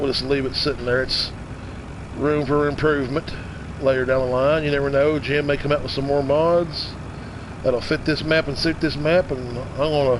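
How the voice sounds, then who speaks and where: Through noticeable background noise and audible room echo, a man speaks at a moderate pace in a fairly high pitch with monotone, flat intonation. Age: 50s. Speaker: gaming streamer. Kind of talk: live stream game commentary. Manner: casual, halting with repetitions.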